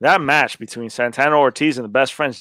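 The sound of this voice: At a fairly quick pace, a man with a bright, sharp tone speaks at a medium pitch with ordinary pitch variation, in a dry, close sound with no echo.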